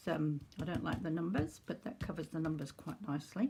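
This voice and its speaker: This woman has an ordinary speaking voice, fairly low in pitch. Her intonation is lively. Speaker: crafter demonstrating junk journal making. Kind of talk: tutorial. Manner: casual, unhurried.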